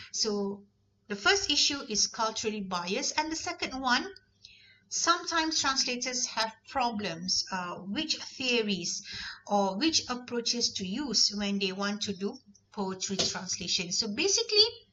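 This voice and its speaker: A woman speaks at a fairly slow pace with a fairly high pitch. Her pitch swings very widely. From Malaysia, Negeri Sembilan. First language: Malay. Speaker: university lecturer. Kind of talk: lecture.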